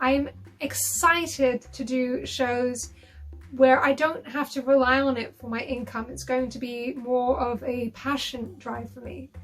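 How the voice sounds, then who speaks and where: A woman's high-pitched voice with a British accent, fairly slow and monotone, over noticeable background noise. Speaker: burlesque performer. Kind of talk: interview answer.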